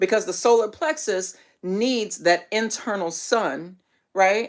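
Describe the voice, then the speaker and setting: Heard on a very clean recording with a silent background, a woman with an ordinary speaking voice has a medium pitch and lively intonation. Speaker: spiritual teacher. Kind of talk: live stream teaching. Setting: livestream.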